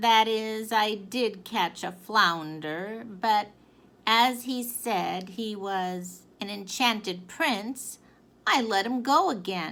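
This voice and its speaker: A raised, projected put-on character voice speaks at a very slow pace. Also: female-sounding voice, fairly high pitch for a woman. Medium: read story. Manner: mild, hesitant.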